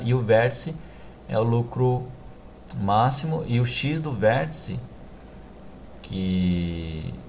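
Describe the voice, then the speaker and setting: Speaking at a medium pitch, a man makes very wide pitch swings. Audible room echo and noticeable background noise accompany him. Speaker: math teacher. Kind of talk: tutorial. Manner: halting.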